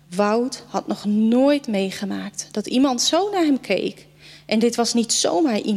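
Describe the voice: Someone reads aloud in a plain manner.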